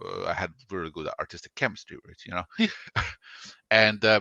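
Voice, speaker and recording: A man with a Croatian accent speaks at a fairly low pitch in a bright, sharp tone. The background is quiet. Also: dry, close sound with no echo. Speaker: comic artist and writer. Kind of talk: interview.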